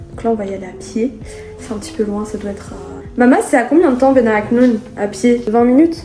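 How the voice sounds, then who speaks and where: Music plays in the background while the speaker goes at a fairly quick pace. Loudness swings widely, and pitch varies in an ordinary way. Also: woman, fairly high pitch for a woman. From Paris, France. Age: 20s. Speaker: vlogger. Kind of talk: casual vlog talk to camera.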